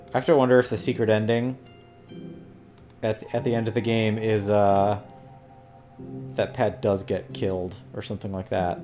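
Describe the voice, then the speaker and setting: Music plays in the background as a man talks at a moderate pace, with long, frequent pauses. His pitch is fairly low, with ordinary variation. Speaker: let's play gamer. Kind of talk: casual gameplay commentary.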